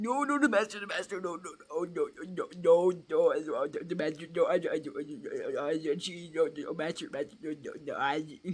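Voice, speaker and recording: A man uses a put-on character voice at a high pitch. He barely pauses at all. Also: moderate pace. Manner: stuttering, panicked.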